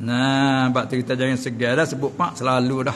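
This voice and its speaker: A man keeps a moderate pace while light background noise runs underneath. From Southern Thailand. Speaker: religious teacher. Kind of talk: religious lecture. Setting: Islamic boarding school. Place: hall. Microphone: podium.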